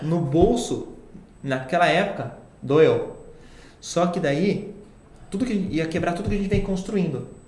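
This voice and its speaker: Over noticeable background noise and audible room echo, a man with a high pitch talks at a fairly slow pace, using ordinary pitch variation and long, frequent pauses. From Itatiba, São Paulo interior, Brazil. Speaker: social media agency CEO. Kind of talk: casual interview.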